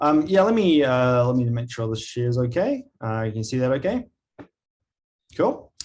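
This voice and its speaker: A man speaks with a slight New Zealand accent. He leaves long, frequent pauses. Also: medium pitch for a man, ordinary pitch variation, moderate pace. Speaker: agile coaching leader. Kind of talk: webinar presentation. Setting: video call.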